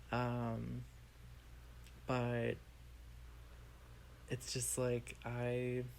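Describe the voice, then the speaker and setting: A soft-spoken man talks with long, frequent pauses. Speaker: podcast co-host. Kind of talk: casual chat. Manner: quiet.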